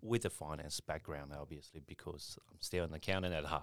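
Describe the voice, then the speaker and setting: A man speaks at a very deep, low pitch. His tone is bright and sharp. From China. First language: Mandarin. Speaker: accountant. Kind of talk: casual chat.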